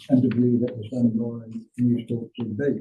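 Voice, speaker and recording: Dark and mellow in tone, a man speaks at a medium pitch. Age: 60s. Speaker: public submitter at council hearing. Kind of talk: prepared submission statement.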